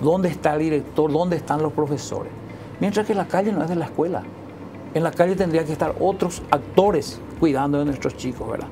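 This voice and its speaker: With noticeable background noise, a woman speaks at a fairly quick pace in a very deep, low pitch. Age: 60s. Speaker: educator. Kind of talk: TV interview. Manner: halting.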